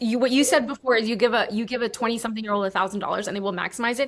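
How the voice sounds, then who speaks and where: With a New York accent, a woman speaks in a fairly high, animated voice with ordinary pitch variation, captured in a very clean recording against a silent background. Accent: American (New York). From US, New York, Cuban American family. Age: 30s. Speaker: online business coach and former travel vlogger. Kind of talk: casual interview chat.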